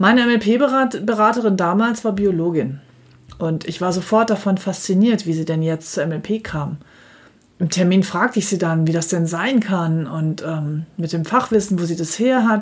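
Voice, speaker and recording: A woman speaks at medium pitch with a somewhat breathy sound. Her pace is fairly slow, with ordinary pitch variation. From Germany, Dortmund (Ruhr area). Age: 50s. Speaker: financial advisor and podcast host. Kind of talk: solo podcast monologue, scripted. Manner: formal.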